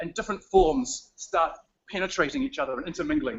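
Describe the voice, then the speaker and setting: Loud and very fast, a man with a New Zealand accent speaks with very wide pitch swings. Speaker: writer giving a city tour. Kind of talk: live walking tour on video stream. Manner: casual, animated.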